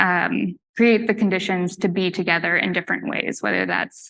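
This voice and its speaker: At a moderate pace, a woman with a medium pitch and vocal fry speaks in fairly even intonation. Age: 30s. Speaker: artist. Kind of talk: presentation talk. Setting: live talk with audience. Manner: hesitant, many fillers.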